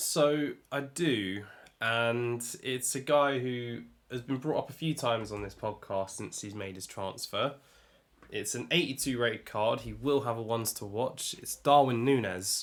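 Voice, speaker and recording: A man with an English accent talks at a fairly slow pace, with ordinary pitch variation and big swings in loudness. The recording is very clean, with a silent background. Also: medium pitch for a man. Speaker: podcast co-host. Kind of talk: casual chat.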